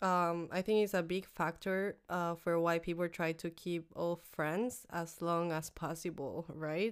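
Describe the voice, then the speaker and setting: A woman with a Spanish accent speaks at a fairly low pitch in a monotone, flat way, with hardly any pauses, on a very clean recording with a silent background. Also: fairly slow pace. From Mexico. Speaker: office admin. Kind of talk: casual chat. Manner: halting.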